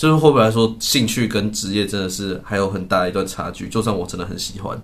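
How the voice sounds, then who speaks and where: A man with a fairly low pitch talks at a very fast pace amid noticeable background noise and audible room echo. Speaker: podcast co-host. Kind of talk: casual chat. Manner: frequent laughter.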